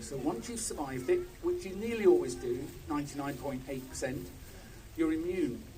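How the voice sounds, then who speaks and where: At a moderate pace, a man talks with audible room echo. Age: 60s. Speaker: doctor, former pharmaceutical scientist. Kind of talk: protest speech. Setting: outdoor protest with crowd.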